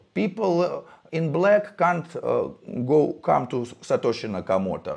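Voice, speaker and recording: A man talks with a Russian accent. His pace is fairly slow. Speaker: crypto validator founder. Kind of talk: interview. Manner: halting.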